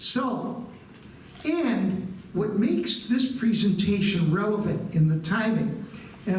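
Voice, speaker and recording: Speaking very slowly with an American accent, a man uses a high pitch amid audible room echo and noticeable background noise. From Buffalo, New York, US. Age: 70s. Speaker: guest lecturer, retired nonprofit executive. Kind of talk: history lecture to a live audience. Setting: room with live audience. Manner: conversational, engaging the audience.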